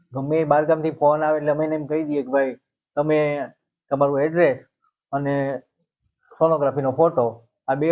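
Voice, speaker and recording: His pitch sits fairly high for a man. The intonation stays monotone and flat. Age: 60s. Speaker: herbal remedy healer. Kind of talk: interview.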